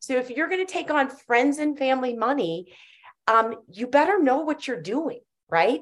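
At a moderate pace, a woman speaks with a high pitch that moves through very wide swings. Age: 50s. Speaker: cannabis entrepreneur and CEO. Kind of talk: podcast interview.

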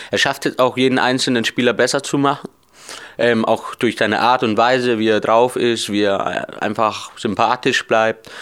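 This man talks at a medium pitch in a monotone, flat delivery. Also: moderate pace, very even loudness. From Bavaria, Germany. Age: 20s. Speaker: deaf footballer and coaching student. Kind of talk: interview. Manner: hesitant, many fillers.

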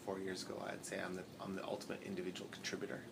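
A man speaks with fairly even intonation. Room echo and noticeable background noise can be heard. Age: 30s. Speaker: business founder. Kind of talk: interview. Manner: halting.

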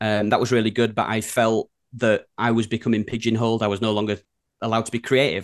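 Against a quiet background, a man with a Yorkshire accent rattles along at a very fast pace in a fairly low, monotone, flat delivery. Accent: broad Yorkshire. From Yorkshire, England. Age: 30s. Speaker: design studio co-founder. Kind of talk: casual chat. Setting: video call.

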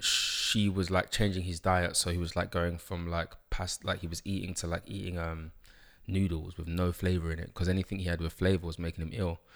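A man with a London accent speaks at a moderate pace in a very deep, low voice with monotone, flat intonation, on a very clean recording with a silent background. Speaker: author and life coach. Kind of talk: interview. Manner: hesitant, many fillers.

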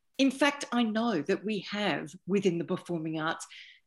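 Against a quiet background, a woman with an Australian accent speaks fairly slowly with lively intonation. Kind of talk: panel discussion. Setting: video call.

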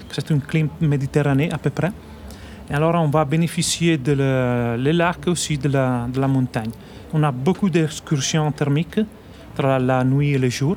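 With an Italian accent, a man speaks at a fairly slow pace in a fairly high pitch. His intonation is fairly even and his loudness very even. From northern Italy, Trentino. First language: Italian (speaking French). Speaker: winemaker. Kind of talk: radio interview. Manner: halting.

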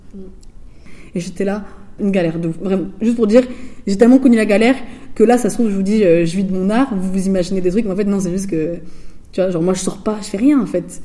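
A woman with a medium-pitched, dark and mellow voice talks very fast with ordinary pitch variation, yet leaves long, frequent pauses. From France, Bordeaux suburbs (Floirac, Bègles). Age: 20s. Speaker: visual artist. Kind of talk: interview. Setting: artist's studio. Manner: casual, hesitant with fillers.

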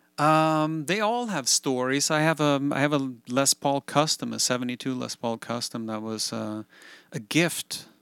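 A man speaks with a Swedish accent at a moderate pace, with ordinary pitch variation. The sound is dry and close, with no echo. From Sweden. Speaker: guitarist and studio producer. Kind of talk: interview conversation. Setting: home recording studio.

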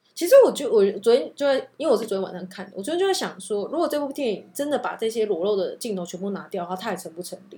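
Very fast speech with hardly any pauses. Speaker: podcast co-host. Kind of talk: casual chat.

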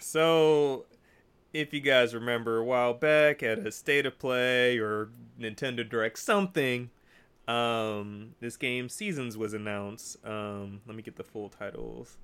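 In a very clean recording with a silent background, a man with a normal speaking voice talks at a fairly slow pace and medium pitch, his pitch moving in an ordinary way while his loudness swings widely. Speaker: podcast host. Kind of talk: casual chat.

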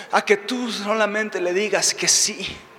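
A man's raised, projected voice at a very slow pace, with ordinary pitch variation and noticeable background noise. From Mexico. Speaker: preacher. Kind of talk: sermon.

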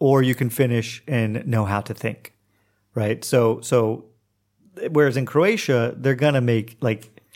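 A man with an Oklahoma accent and a medium pitch, fairly slow and fairly even in intonation, in a very clean recording with a silent background. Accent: Oklahoma American English. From US, Oklahoma. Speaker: English teacher and writer. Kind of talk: casual chat.

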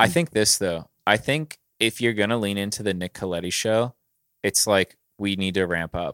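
A plain, everyday voice from a man with an American accent, fairly low in pitch with ordinary variation, at a moderate pace, dry and close with no echo in a very clean recording with a silent background. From Pittsburgh area, US. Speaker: podcast co-host. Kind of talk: casual chat.

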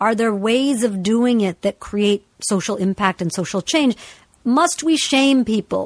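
In a dry, close recording with no echo, a woman with an unremarkable speaking voice talks at a fairly slow pace, her fairly high pitch carrying lively intonation. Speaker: podcast host. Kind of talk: casual chat and storytelling.

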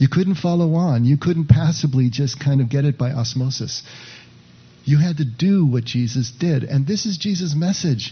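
A man's somewhat breathy voice, its pitch varying in an ordinary way. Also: fairly high pitch for a man, moderate pace. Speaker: pastor leading a contemplative practice group. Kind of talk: sermon; guided meditation. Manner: hesitant, many filler words.

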